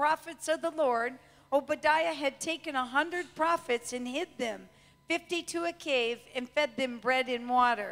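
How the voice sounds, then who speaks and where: A woman is speaking here. Her voice is high and her pace is moderate. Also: ordinary pitch variation. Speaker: preacher. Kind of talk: sermon. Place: church. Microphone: handheld.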